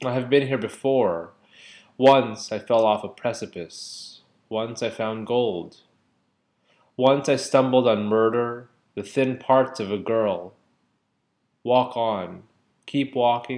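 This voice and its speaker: A man at a very slow pace, with long, frequent pauses and ordinary pitch variation. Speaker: poetry reader. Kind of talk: poetry reading. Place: home room. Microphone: webcam.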